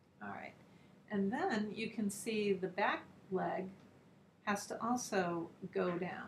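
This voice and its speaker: A woman at medium pitch, very slow, with long, frequent pauses, fairly even intonation and noticeable background noise. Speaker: art teacher. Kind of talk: tutorial.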